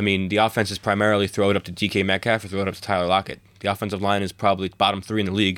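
A man talks at a very fast pace with hardly any pauses, in a fairly low, monotone, flat voice. The recording is very clean, with a silent background. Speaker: podcast host. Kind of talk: casual chat about sports.

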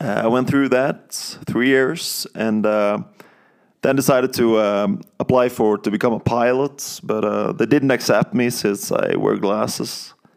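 In a Norwegian accent, a man speaks at a fairly slow pace and medium pitch. His loudness stays very even, and his pitch varies in an ordinary way. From Norway, countryside outside Bergen. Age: 30s. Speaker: Bible college student. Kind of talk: testimony. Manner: halting, many fillers.

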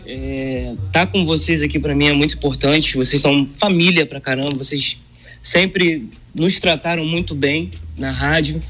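Moderately paced speech from a man, backed by music. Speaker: funk singer. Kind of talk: casual interview. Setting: remote video call.

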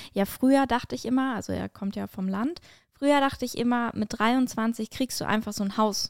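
A woman with a plain, everyday voice speaks at a fairly quick pace with ordinary pitch variation. The very clean recording has a silent background and a dry, close sound with no echo. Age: 20s. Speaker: podcast host and stand-up comedian. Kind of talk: casual chat.

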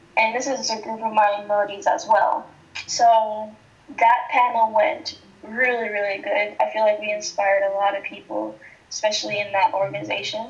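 A woman talks at a moderate pace in a fairly high pitch with ordinary pitch variation. Noticeable background noise runs through the clip. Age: 20s. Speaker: college student and nonprofit founder. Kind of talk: casual interview chat.

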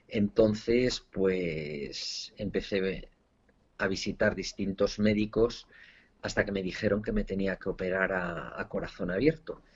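A man speaks at a very slow pace, his pitch fairly low and his pitch variation ordinary. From Spain. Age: 40s. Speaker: entrepreneur and author. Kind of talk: interview testimony. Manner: halting, with repeated words.

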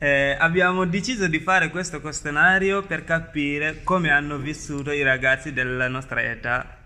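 A bright, sharp voice speaks at a fairly slow pace with ordinary pitch variation. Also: man. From Gambia. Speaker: youth podcast host. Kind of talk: semi-scripted podcast hosting.

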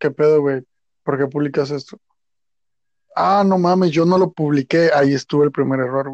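In a dry, close recording with no echo, a man talks at a moderate pace and a fairly high pitch, with fairly even intonation. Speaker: podcast co-host. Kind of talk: casual chat.

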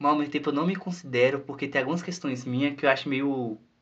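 This is a man with an ordinary speaking voice. His pitch sits fairly high, with ordinary pitch variation. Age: 20s. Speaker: podcast co-host. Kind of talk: casual chat.

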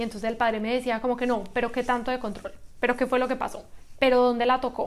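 This is a woman speaking. Her pitch is high. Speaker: writer and lawyer. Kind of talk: interview. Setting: in-person studio.

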